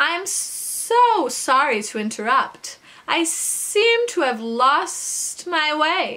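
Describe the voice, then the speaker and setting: This is a put-on character voice with a hissing quality. It moves at a very slow pace with very wide pitch swings. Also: woman, high pitch for a woman. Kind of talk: reading a children's book aloud. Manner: polite, apologetic.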